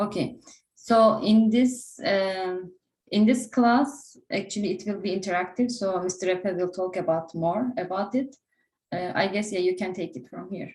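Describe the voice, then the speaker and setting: Somewhat breathy, a woman speaks with a Turkish accent and ordinary pitch variation. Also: medium pitch for a woman, moderate pace. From Turkey. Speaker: interview prep instructor. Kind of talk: online class.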